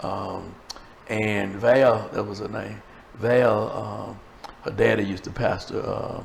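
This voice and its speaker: In an American accent, a man speaks at a very slow pace with long, frequent pauses and big swings in loudness. Noticeable background noise and audible room echo fill the recording. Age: 70s. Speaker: preacher and talk show host. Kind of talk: casual chat. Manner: animated.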